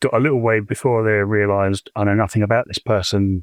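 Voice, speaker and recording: In a southern English accent, a man talks at a fairly low pitch with monotone, flat intonation, in a dry, close sound with no echo. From southeast England (Chatham, Kent). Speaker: caller. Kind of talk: personal storytelling. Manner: halting, many fillers.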